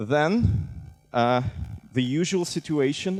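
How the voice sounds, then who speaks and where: A man with a Russian accent, fairly high pitch and very wide pitch swings, music in the background. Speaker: civic tech director. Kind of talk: conference talk.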